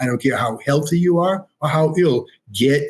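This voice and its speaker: A somewhat breathy male voice with fairly even intonation, at a moderate pace. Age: 70s. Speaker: light technology company representative. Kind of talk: podcast interview.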